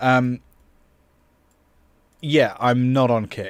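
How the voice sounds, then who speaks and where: Speaking at a very slow pace with a British accent, a man with a medium pitch is heard in a very clean recording over a silent background. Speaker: music producer and streamer. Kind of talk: livestream tutorial. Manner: loud.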